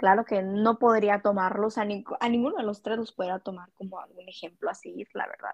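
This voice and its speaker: The woman's voice sits at a medium pitch and varies in an ordinary way. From Mexico, Culiacán, Sinaloa. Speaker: psychology student, podcast co-host. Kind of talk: casual chat.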